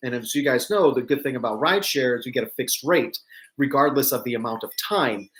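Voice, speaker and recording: Lively in intonation, the man moves at a fairly quick pace. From New York and Virginia, mixed. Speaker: travel vlogger. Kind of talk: live stream update. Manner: casual, many fillers.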